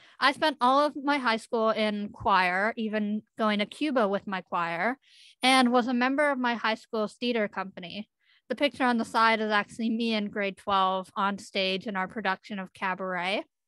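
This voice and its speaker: At a moderate pace over a quiet background, a woman with a western Canadian accent speaks in a fairly high pitch with ordinary pitch variation. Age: 20s. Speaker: youth speaker with a facial difference. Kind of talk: presentation.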